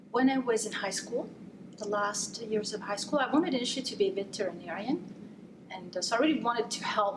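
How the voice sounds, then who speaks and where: Talking very fast, a woman with a fairly high pitch is heard through noticeable background noise and audible room echo. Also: ordinary pitch variation. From Italy. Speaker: neurologist. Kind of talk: interview.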